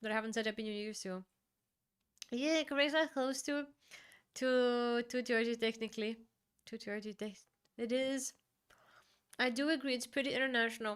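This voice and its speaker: A woman in a Bulgarian accent speaks in a high voice with fairly even intonation. She leaves long, frequent pauses. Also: moderate pace. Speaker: streamer. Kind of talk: casual chat. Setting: live stream.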